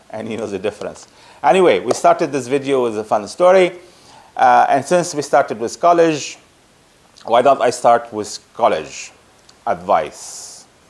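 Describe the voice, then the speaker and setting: A man with a Lebanese accent talks at a fairly slow pace. His medium-pitched voice has lively intonation. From Lebanon. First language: Arabic. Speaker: project management consultant. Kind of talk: casual talk to camera. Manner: halting.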